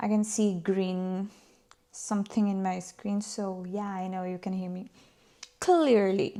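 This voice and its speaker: A woman with a Filipino accent speaks at a fairly slow pace with monotone, flat intonation. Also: medium pitch for a woman. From Philippines. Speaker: former accountant and vlogger. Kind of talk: casual storytelling vlog.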